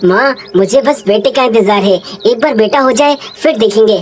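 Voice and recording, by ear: A woman's cartoonish character voice, fairly high in pitch, at a moderate pace with very even loudness and clear background noise.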